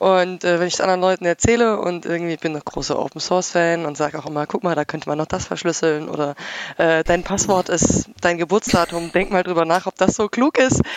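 Amid noticeable background noise, a woman with a fairly low pitch and ordinary pitch variation talks at a fairly quick pace in a dry, close sound with no echo. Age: 20s. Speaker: hobby podcaster and CNC machinist. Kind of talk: casual chat.

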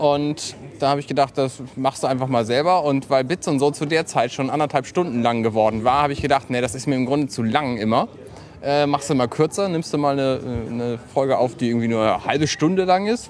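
A man's fairly quick, fairly high-pitched delivery in an unremarkable speaking voice, with ordinary pitch variation. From northern Germany, Buxtehude. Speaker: podcaster. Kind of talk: casual chat.

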